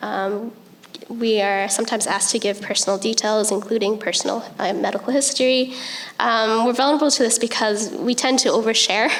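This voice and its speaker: Soft-spoken and fairly quick, a woman with a fairly high pitch, ordinary pitch variation and very even loudness is heard through audible room echo and noticeable background noise. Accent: western Canadian. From Vancouver area, western Canada. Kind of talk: panel presentation. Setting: conference stage with audience. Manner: hesitant, many ums.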